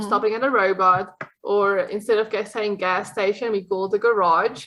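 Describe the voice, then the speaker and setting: Here a woman talks at a moderate pace and medium pitch. Her South African accent comes with monotone, flat intonation. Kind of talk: podcast interview answer.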